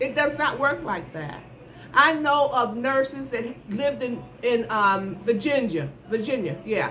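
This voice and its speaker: A woman speaks at a fairly slow pace in a high voice, her animated tone and lively intonation carrying some audible room echo. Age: 70s. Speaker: nurse. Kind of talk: advice monologue.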